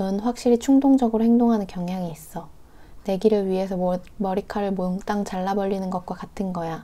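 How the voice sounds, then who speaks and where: Soft-spoken, a woman talks at a moderate pace in a medium pitch with a dark, mellow tone and ordinary pitch variation. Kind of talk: novel reading. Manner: soft-spoken, quiet.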